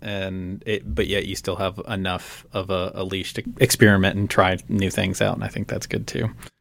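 A man with an American accent speaks at a moderate pace. His voice is fairly low. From Roanoke, Virginia, Appalachia. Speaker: visual artist. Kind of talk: radio interview, casual chat. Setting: radio studio.

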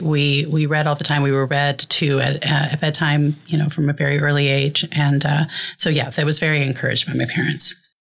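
A woman with an American accent speaks at a fairly quick clip in a very deep, low voice. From Iowa, US Midwest. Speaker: poet and writer. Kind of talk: casual interview chat.

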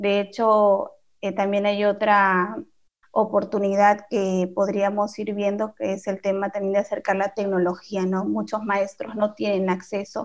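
The intonation is flat and monotone. The pace is fairly slow. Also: woman, medium pitch for a woman. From Peru. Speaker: podcast co-host. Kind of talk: casual interview.

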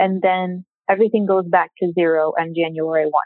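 Speaking with an American accent, this voice keeps a moderate tempo and a fairly level intonation. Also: woman. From Michigan, outside Detroit. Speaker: tax attorney and law professor. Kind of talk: interview.

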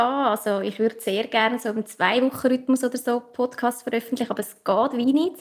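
Pitched high, a woman with a Central Swiss accent talks at a fairly quick pace with fairly even intonation. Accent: Obwalden Swiss German dialect. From central Switzerland, canton Obwalden. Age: young. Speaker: spiritual coach and podcaster. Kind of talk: interview. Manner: calm, soothing.

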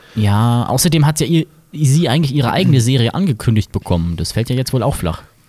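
This man's dark, mellow voice is somewhat breathy and medium-pitched, rushing along at a very fast pace. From Mainz, Germany. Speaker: podcast host. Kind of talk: casual chat. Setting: carnival float.

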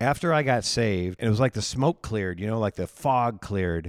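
On a very clean recording with a silent background, a fairly low-pitched man with a Midwestern American accent talks at a fairly quick pace with ordinary pitch variation. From Iowa, US Midwest. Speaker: pastor and ministry director. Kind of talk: personal testimony in casual interview.

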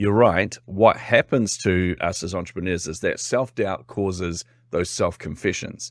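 This man speaks at a moderate pace with a New Zealand accent, on a very clean recording with a silent background. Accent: New Zealand (Kiwi). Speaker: team-building expert and business owner. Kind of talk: casual interview.

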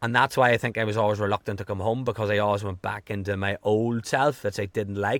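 With a strong Irish accent, a man rattles along at a very fast pace with hardly any pauses, in a fairly low, monotone, flat voice, recorded dry and close with no echo. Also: very clean recording, silent background. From Ireland. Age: 30s. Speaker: health coach and podcaster. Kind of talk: casual interview chat.

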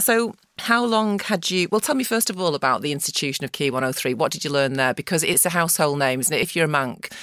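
In a very clean recording with a silent background, a woman races along at a very fast pace with hardly any pauses, her fairly low voice making very wide pitch swings. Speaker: podcast host and PR agency founder. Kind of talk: interview.

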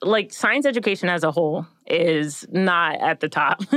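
Against a quiet background, a woman with an American accent speaks in an ordinary speaking voice, fairly slowly and with lively intonation. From suburban Maryland, US. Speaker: neuroscience PhD student. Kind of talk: casual interview.

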